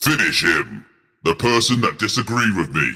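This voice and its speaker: In a put-on character voice, a man speaks at a medium pitch and a moderate pace. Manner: creepy, dramatic.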